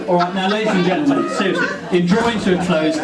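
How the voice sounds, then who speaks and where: The speaker is a man with a fairly high pitch. Noticeable background noise and audible room echo come through. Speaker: groom giving wedding speech. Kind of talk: wedding speech. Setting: wedding reception with audience.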